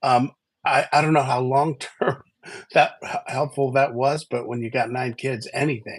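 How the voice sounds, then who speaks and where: A somewhat breathy man's voice at medium pitch, moderate in pace, with monotone, flat intonation. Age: 60s. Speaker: livestream co-host. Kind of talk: casual chat. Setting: livestream. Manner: halting.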